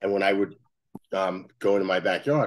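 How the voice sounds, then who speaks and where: A man with a Brooklyn accent, fairly low-pitched and very fast, over a quiet background. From Brooklyn, New York. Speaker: sports facility company executive. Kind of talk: interview.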